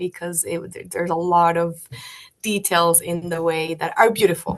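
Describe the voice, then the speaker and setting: Speaking with a Spanish accent at a moderate pace, a woman with a fairly low voice keeps a monotone, flat intonation while her loudness swings widely. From Colombia, Bogota. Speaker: guest sharing faith testimony. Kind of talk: testimony. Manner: halting.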